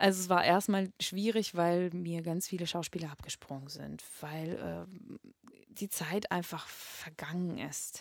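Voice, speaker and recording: A woman speaks at a very slow pace, her pitch fairly low. Her intonation stays fairly even while her loudness swings widely. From Russia, Moscow. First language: Russian (speaking German). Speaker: singer and voice teacher. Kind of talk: interview. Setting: flat share, in person. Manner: halting, many fillers.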